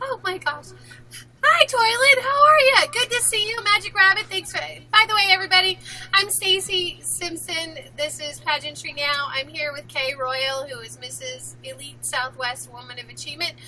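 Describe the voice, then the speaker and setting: With noticeable background noise behind it, the speech holds a moderate pace and shows big swings in loudness. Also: woman. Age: 50s. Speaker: pageant show host. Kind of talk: casual chat. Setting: live stream. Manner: animated.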